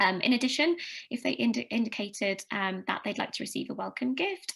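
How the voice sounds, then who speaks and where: A woman speaks at a fairly quick pace with vocal fry. The background is quiet. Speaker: customer advocacy team member presenting at a conference. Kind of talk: conference presentation. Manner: fast; hesitant, many fillers.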